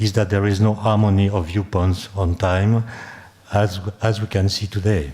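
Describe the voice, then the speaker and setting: Noticeable background noise sits behind a man's fairly low voice. He keeps a moderate pace with ordinary pitch variation. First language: French. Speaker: conference speaker, physicist or philosopher. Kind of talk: academic lecture. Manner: halting, with fillers and self-repetition.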